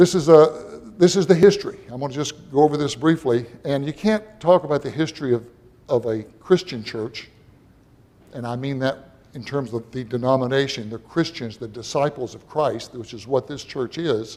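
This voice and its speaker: A man's fairly high voice with a dark, mellow tone, ordinary pitch variation and an American accent. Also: big swings in loudness. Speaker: church member presenting local history. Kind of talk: public presentation. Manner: fast.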